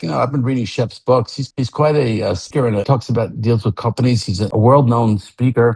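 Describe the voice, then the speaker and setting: The tone is dark and mellow, with some breathiness. The delivery comes at a fairly quick pace. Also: man. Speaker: founder of a rock fantasy camp. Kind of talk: podcast conversation.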